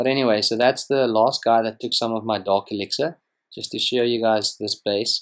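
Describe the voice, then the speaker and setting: A man with a South African accent, fairly even intonation, on a very clean recording with a silent background. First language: Afrikaans. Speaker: gaming youtuber. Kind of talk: gameplay commentary. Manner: casual, hesitant with fillers.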